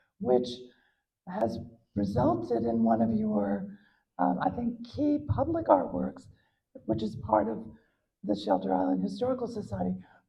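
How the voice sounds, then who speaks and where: A woman speaks at a moderate pace with a slight Southern US accent. She leaves long, frequent pauses. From US South, Atlanta, Georgia. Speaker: art history professor. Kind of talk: interview at a public talk. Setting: museum event with audience.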